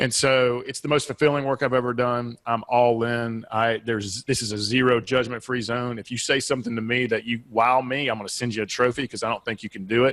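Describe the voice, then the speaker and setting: With a Southeastern US accent, a man talks at a fairly quick pace in a medium pitch, his intonation monotone and flat, with hardly any pauses. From US Southeast. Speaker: business and life coach, author. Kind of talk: podcast interview.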